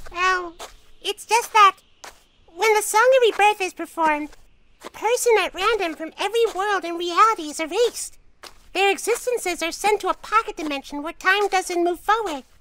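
A squeaky, put-on character voice at an extremely high pitch. It moves at a moderate pace. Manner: earnest, apologetic.

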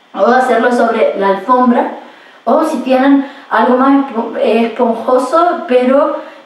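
A woman speaks at a high pitch and a very slow pace with fairly even intonation. There is audible room echo. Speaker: exercise instructor. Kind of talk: tutorial. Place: home room. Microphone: camera far.

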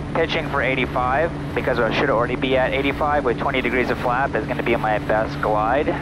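A man's fairly quick speech, dry with no echo, over loud background noise. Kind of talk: casual vlog chat. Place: plane. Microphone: headset.

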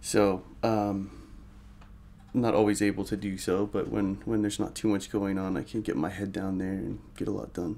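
At a moderate pace, a man with a fairly low pitch uses an unremarkable speaking voice and fairly even intonation. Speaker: interviewee. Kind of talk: interview answer. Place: home room.

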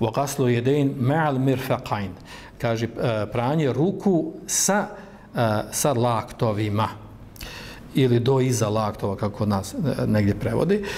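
Light background noise sits under a man's voice. He talks at a fairly slow pace with lively intonation. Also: very even loudness. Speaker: Islamic lecturer. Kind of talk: lecture. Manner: halting. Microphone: poor sound quality; podium.

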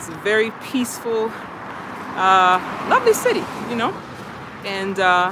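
A woman speaks with fairly even intonation in a dry sound with no echo. Noticeable background noise runs underneath. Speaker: livestream host. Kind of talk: casual vlog chat. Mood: cheerful, relaxed. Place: street. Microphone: phone near.

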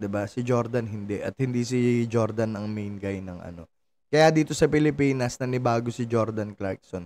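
A man speaks in an animated tone with ordinary pitch variation. His pace is moderate, and his loudness swings widely. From Philippines. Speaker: sports vlogger. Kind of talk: angry rant, sarcastic commentary on a basketball loss. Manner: animated, exasperated, sarcastic; repeats phrases, rising volume, laughs mid-rant. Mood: frustrated, critical. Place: home room. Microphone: studio mic.

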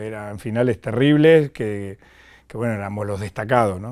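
Over a quiet background, the man's speech moves along at a moderate pace. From Argentina, Mar del Plata; Argentina. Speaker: former footballer; guest. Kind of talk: interview. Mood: calm, reflective storytelling. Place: studio. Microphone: lapel.

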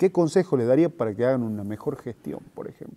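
His intonation is lively. The man's tone sounds dark and mellow. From Argentina. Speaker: interviewer. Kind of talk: interview. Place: hall. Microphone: lapel.

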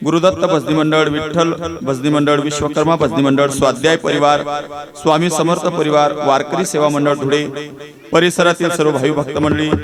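Over noticeable background noise, a man speaks at a fairly high pitch with very even loudness and fairly even intonation. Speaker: kirtan preacher. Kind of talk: devotional kirtan sermon.

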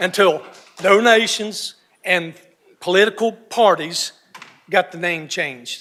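A man speaks with a North Carolina accent. His pitch varies in an ordinary way. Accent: Southern US (North Carolina). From North Carolina (Iredell County). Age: 60s. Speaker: local resident speaking at public hearing. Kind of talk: public comment.

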